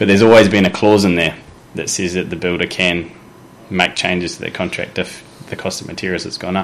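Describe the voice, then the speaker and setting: Speaking very fast with a New Zealand accent, a man keeps a very deep, low pitch in a monotone, flat intonation. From New Zealand, Wellington. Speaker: mortgage adviser. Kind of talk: interview.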